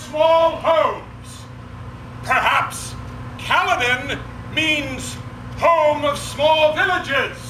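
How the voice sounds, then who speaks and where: A man's raised, projected voice at a very slow pace, with audible room echo and light background noise. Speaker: town crier. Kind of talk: town crier proclamation at a championship competition. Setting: outdoors at a festival. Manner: loud, formal, ceremonial delivery with pauses. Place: stage. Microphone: camera far.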